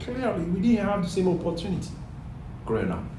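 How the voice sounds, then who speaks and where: With a Cameroonian accent, a man speaks in a room with audible echo and noticeable background noise. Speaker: airline pilot. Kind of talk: interview.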